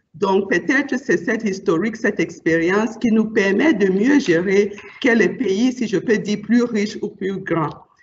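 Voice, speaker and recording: Speaking at a fairly slow pace, a woman with a non-native accent has a medium-pitched, somewhat breathy voice. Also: ordinary pitch variation. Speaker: bank executive. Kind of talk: panel discussion.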